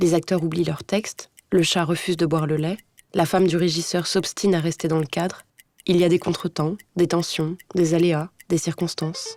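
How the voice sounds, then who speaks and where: Recorded with a dry, close sound and no echo, a woman speaks in a plain, everyday voice at a moderate pace with a fairly low pitch. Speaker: actress. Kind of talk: literary voice-over narration for an animated short film. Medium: animated short film.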